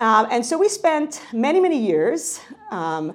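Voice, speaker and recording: Her pitch rises and falls across a very wide range. The woman has an American accent. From New York. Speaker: professor. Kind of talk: lecture.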